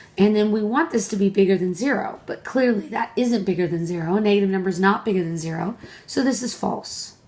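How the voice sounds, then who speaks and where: With noticeable background noise behind her, a woman talks at a very fast pace with ordinary pitch variation and hardly any pauses. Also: medium pitch for a woman. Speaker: math professor. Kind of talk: tutorial.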